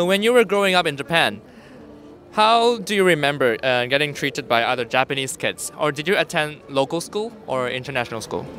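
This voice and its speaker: With music in the background, a man with a fairly high pitch speaks at a fairly quick pace with very wide pitch swings, the sound dry with no echo. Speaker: street interviewer. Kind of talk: interview. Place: street.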